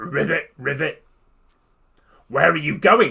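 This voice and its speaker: Pitching his voice fairly high, a man performs a put-on character voice. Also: fairly slow pace. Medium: read story.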